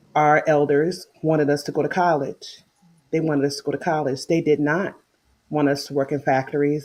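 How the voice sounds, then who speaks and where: Over music in the background, a speaker with an American accent talks at a fairly quick pace. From Chicago South Side, US Midwest. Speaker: mental health social services worker. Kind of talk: casual interview chat.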